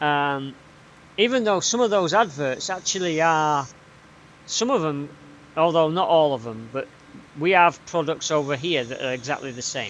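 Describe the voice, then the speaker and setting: Pausing long and often, a man with a Yorkshire accent talks at a moderate pace and a fairly high pitch with lively intonation. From Yorkshire, northern England. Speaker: gaming streamer. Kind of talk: casual live stream chat. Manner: halting, with fillers and repeats.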